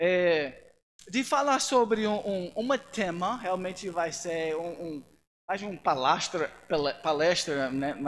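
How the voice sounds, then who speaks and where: A very slow-speaking man with a high pitch and lively intonation. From United States. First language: English (speaking Portuguese). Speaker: missionary pastor and seminary teacher. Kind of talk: church lecture. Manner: halting, with many fillers.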